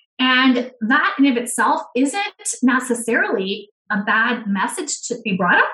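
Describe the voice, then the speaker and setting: Speaking at a fairly slow pace, a woman uses ordinary pitch variation in an unremarkable speaking voice. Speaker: guest working on economic justice. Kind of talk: casual interview conversation.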